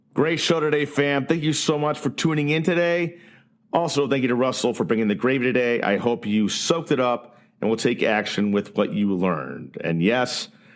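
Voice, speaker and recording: In an ordinary speaking voice, a man talks at a moderate pace with very even loudness, lively intonation and a medium pitch. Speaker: podcast host. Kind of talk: podcast interview.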